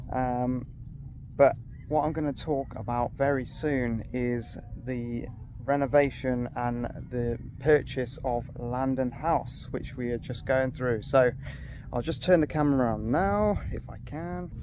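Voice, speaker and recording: A man with a British accent, medium pitch and fairly even intonation at a fairly slow pace. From UK. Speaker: expat vlogger. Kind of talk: casual vlog talk. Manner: unscripted, hesitant.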